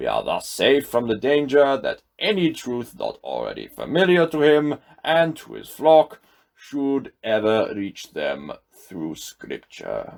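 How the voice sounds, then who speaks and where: A man uses a put-on character voice and goes at a fairly slow pace. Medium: read story.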